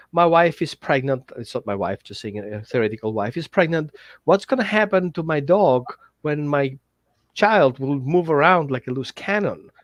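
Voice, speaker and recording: In a dry, close recording with no echo and a quiet background, a man speaks with lively intonation at a fairly high pitch. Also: moderate pace. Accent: non-native. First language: not English. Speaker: dog trainer. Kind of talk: workshop pitch. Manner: halting.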